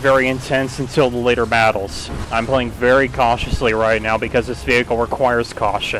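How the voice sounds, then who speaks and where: A man talks at a fairly quick pace with hardly any pauses, his pitch in the medium range. Noticeable background noise sits behind him. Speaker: video game streamer. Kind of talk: gameplay commentary while live streaming. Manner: halting, stutters when concentrating; casual, self-deprecating asides.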